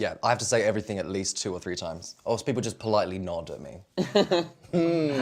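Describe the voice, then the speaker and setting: A man with a fairly low pitch talks at a fairly quick pace with hardly any pauses, his pitch swinging very widely. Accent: British. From Britain. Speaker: talk show guest.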